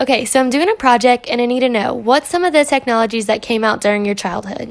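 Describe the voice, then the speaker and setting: A woman with an American accent talks at a very fast pace. Her high pitch shows ordinary variation. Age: 20s. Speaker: student. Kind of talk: scripted narration; phone call interview.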